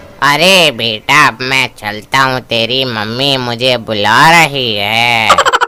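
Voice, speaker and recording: A man speaks at a very slow pace in a cartoonish character voice. His pitch sits in the medium range. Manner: slow, weak.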